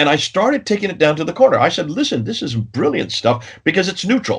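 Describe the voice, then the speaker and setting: Vocal fry runs through this voice. The pitch rises and falls across a very wide range. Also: man. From India. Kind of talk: interview.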